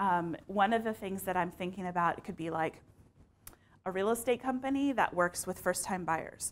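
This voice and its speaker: With an American accent, a woman is talking. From Texas, San Antonio. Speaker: marketing communications manager. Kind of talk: conference talk. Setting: stage with audience. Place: hall. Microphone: lapel.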